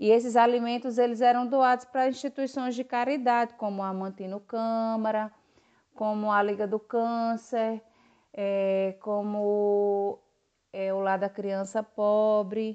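A woman's very slow delivery, fairly high in pitch with a dark, mellow tone, over a quiet background. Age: 40s. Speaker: volunteer, mask maker. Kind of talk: interview testimony. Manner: halting, with fillers.

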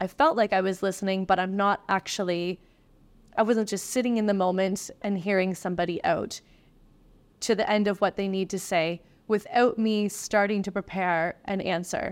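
A woman with an unremarkable speaking voice at a medium pitch talks with fairly even intonation on a very clean recording with a silent background. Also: moderate pace. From East Coast of Canada. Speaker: restaurant manager. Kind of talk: interview.

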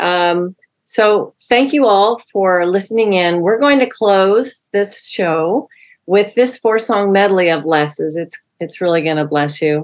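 A woman speaks fairly slowly in an ordinary speaking voice at medium pitch. Her intonation is lively. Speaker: executive producer and co-host. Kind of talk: podcast intro and co-hosting chat.

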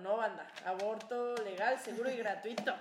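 Fairly slow and fairly high-pitched, a woman speaks amid noticeable background noise and audible room echo. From Cuernavaca, Mexico. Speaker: podcast co-host. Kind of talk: casual chat.

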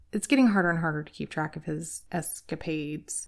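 On a very clean recording with a silent background, a woman has a normal speaking voice, fairly low in pitch, with ordinary pitch variation. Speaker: podcast host. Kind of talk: true-crime narration, scripted-sounding storytelling with light humor. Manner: measured, storytelling pace, conversational and wry; ominous, building suspense in the narration.

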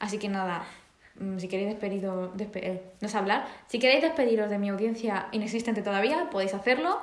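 A woman talks at a medium pitch and moderate pace, with ordinary pitch variation. Audible room echo and noticeable background noise surround her. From Spain, small village. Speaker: podcast host. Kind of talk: casual chat. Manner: energetic.

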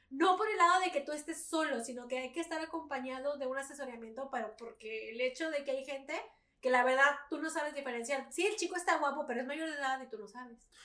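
The voice is raised and projected, with a bright, sharp tone. It moves at a very fast pace with ordinary pitch variation. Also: woman, high pitch for a woman. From Mexico. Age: 20s. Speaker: cosplayer and streamer. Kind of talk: casual chat.

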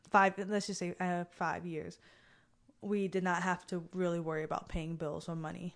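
A woman's fairly low, monotone voice with flat intonation, at a moderate pace against a quiet background. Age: 30s. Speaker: high school teacher. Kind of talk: casual chat.

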